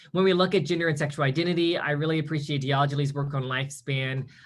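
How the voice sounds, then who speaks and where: The man's voice sits at a fairly high pitch and is somewhat breathy. His intonation stays fairly even. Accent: American. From US South, Mississippi coast. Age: 30s. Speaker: academic speaker. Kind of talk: lecture. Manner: fast.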